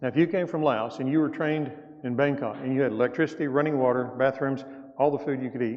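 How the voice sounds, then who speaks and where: Fairly high-pitched, a man with a Southern US accent races along at a very fast pace, his intonation fairly even. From US South. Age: 60s. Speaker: church elder, guest mission speaker. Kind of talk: mission report talk in church. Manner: casual, conversational.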